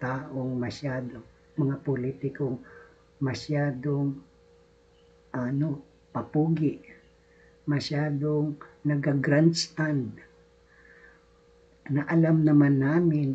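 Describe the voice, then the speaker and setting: Long, frequent pauses break up this very slowly paced speech. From Bicol region, Philippines. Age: old. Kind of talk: casual political commentary to camera.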